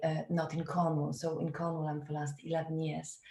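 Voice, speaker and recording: A woman with a Polish accent speaks at a moderate pace in a fairly low, somewhat breathy voice. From Poland. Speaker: theatre director. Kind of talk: webinar talk. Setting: video call.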